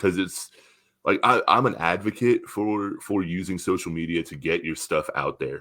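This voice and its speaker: A moderate pace in a very clean recording with a silent background. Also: man. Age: 30s. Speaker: podcast host and metal vocalist. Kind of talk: casual interview chat. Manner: halting, many fillers and repeats.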